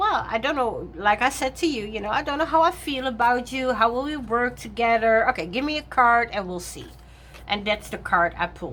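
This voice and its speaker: With noticeable background noise behind her, a woman with a non-native accent talks fairly quickly in a fairly high voice, her intonation lively. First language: not English. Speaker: tarot reader and content creator. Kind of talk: casual chat. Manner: halting, many fillers.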